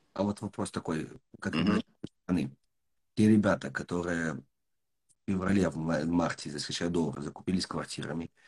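Dry, close sound with no echo from a man's very deep, low voice with vocal fry. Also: ordinary pitch variation, moderate pace. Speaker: podcast host and business mentor. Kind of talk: casual interview.

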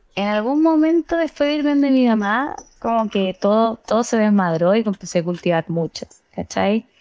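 A woman speaks at a moderate pace with fairly high pitch, very wide pitch swings and very even loudness. The sound is dry and close with no echo, over a quiet background. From Chile, Santiago (Estación Central). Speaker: cannabis grower and educator. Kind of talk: casual chat.

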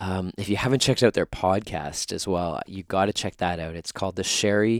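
In a Canadian accent, a man with a very deep, low pitch speaks at a moderate pace with fairly even intonation, the sound dry and close with no echo on a very clean recording with a silent background. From Canada. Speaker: podcast host, mindfulness teacher. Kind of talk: scripted podcast intro; casual interview. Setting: guest's home in Los Angeles.

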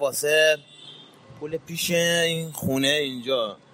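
There is noticeable background noise. The speaking pace is fairly slow. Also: man. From Iran, Mashhad. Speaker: street shoemaker. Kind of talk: interview testimony.

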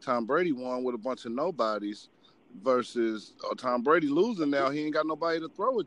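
A man's ordinary speaking voice, fairly high in pitch, at a fairly quick pace with lively intonation. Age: 30s. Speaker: sports podcast host. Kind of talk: casual chat.

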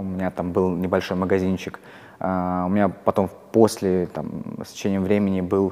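Speaking in a monotone, flat intonation, a man with a very deep, low pitch keeps a moderate pace. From Russia, Kursk. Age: 20s. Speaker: investor. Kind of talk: interview. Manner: hesitant with fillers.

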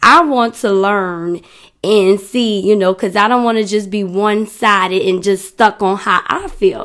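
In an American accent, a woman with a medium pitch speaks at a fairly slow pace in an animated tone, with ordinary pitch variation, on a very clean recording with a silent background. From New Orleans, US South. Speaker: podcast host. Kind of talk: casual solo podcast monologue.

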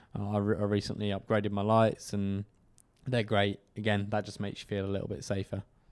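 Delivery comes at a very fast pace in a southern English accent. The intonation is monotone and flat. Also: man, fairly low pitch for a man. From Kent, southeast England. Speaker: cycle commuter, podcast co-host. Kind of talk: casual interview chat.

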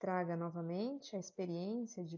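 A woman speaks at medium pitch. Her tone is calm and soothing. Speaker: yoga nidra guide. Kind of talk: guided meditation. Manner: slow, soft, calm and soothing, with long pauses; gentle, measured, instructive.

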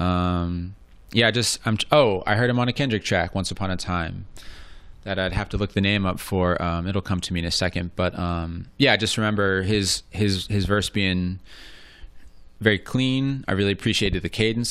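Speaking with an American accent, a man has a plain, everyday voice and a fairly low pitch. His pace is moderate, his intonation fairly even. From US suburbs. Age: 30s. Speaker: podcast co-host and poet. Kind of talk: casual chat.

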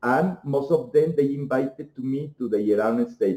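A man with a Mexican accent speaks at a moderate pace. His pitch is fairly high and his tone is dark and mellow. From Mexico. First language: Spanish. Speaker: homeopathic doctor and researcher. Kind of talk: interview. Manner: halting.

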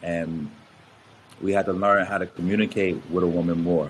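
With an American accent, a man speaks at a very deep, low pitch in a monotone, flat intonation. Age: 30s. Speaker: motivational speaker and podcast host. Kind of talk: casual chat.

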